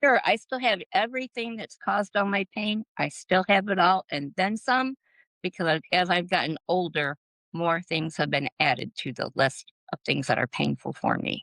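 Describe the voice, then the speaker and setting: A woman with an ordinary speaking voice and a medium pitch talks at a moderate pace with lively intonation. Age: 60s. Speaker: botanical policy advocate. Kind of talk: interview podcast.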